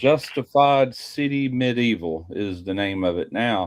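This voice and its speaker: With a normal speaking voice, a man speaks at a fairly low pitch and uses lively intonation. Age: 60s. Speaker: barbecue YouTuber. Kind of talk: casual chat.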